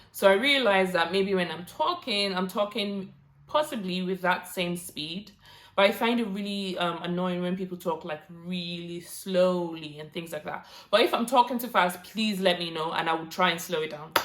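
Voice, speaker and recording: Delivered at a moderate pace with ordinary pitch variation, the voice makes big swings in loudness amid noticeable background noise. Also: woman, medium pitch for a woman. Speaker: YouTuber giving career tips. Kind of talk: vlog tutorial.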